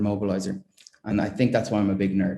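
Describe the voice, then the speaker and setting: A man races along at a very fast pace in a dark, mellow tone. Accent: Irish. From Ireland, greater Dublin area (school in Meath). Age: 20s. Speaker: chemistry prize winner, researcher. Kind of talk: award acceptance talk. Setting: online ceremony. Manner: halting, many fillers.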